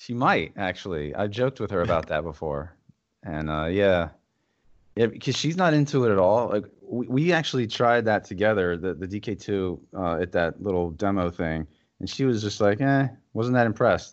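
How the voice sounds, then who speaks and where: A man with a plain, everyday voice speaks at a moderate pace. His pitch is fairly low and his intonation lively. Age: 40s. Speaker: YouTuber and gamer. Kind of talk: casual chat.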